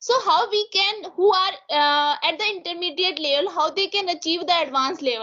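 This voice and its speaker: Speaking at a fairly quick pace with an Indian accent, a woman uses an extremely high pitch with ordinary pitch variation. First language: Hindi. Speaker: interviewee. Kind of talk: interview. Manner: halting.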